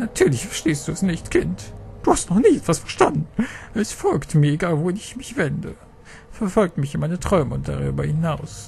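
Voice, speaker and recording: Over clear background noise, a man uses a put-on character voice pitched fairly high. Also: moderate pace. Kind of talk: dramatic reading of game dialogue. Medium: game stream. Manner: despairing, scornful, ominous.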